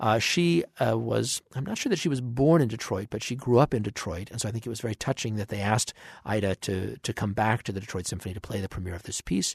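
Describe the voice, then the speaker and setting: Speech runs at a very fast pace with hardly any pauses, ordinary pitch variation and vocal fry. The sound is dry and close with no echo over a quiet background. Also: man, fairly low pitch for a man. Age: 50s. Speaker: orchestra conductor giving radio commentary. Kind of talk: radio commentary on a concert broadcast.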